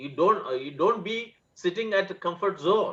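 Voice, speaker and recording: A man's bright, sharp voice at a fairly slow pace. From Tamil Nadu, India. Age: 60s. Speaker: webinar panelist, retired technocrat. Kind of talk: webinar summary remarks. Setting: video call webinar. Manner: halting, many fillers.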